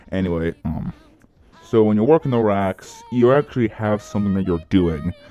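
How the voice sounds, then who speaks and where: A man's voice at a moderate pace with lively intonation, dry and close with no echo, music playing behind. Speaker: YouTuber and ski rental shop worker. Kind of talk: casual vlog monologue. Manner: halting, with stutters and self-corrections.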